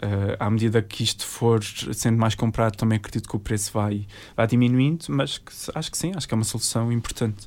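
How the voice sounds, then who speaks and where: A man with an unremarkable speaking voice talks at a fairly quick pace, medium in pitch with ordinary pitch variation. The recording is very clean, with a silent background. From Azores, Portugal (Terceira and São Miguel). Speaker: environmental engineer and social media creator. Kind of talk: interview.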